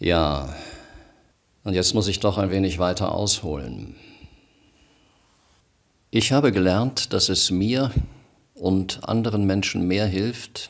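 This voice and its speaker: Over a quiet background, a man speaks in a very deep, low voice with ordinary pitch variation. His pace is very slow, with long, frequent pauses. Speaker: radio presenter and news reader. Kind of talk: personal monologue to camera, emotional address. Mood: calm, earnest, measured. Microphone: studio mic.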